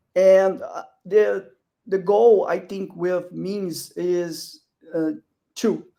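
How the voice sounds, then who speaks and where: A man's high-pitched voice with a non-native accent, a dark, mellow tone, fairly even intonation, big swings in loudness, a very slow pace and long, frequent pauses. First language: not English. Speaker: crypto project founder. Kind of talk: panel discussion. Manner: halting.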